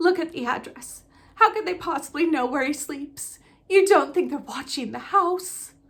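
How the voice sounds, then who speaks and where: A woman's put-on character voice, extremely high and shaky, at a moderate pace with ordinary pitch variation. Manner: fearful, nervous.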